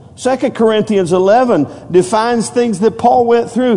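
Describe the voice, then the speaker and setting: Over noticeable background noise, a man speaks in a high pitch with ordinary pitch variation. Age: 50s. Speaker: pastor. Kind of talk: evangelical sermon at a Wednesday night church service, call-and-response preaching. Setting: church with congregation. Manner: conversational, repetitive and stumbling asides with many fillers.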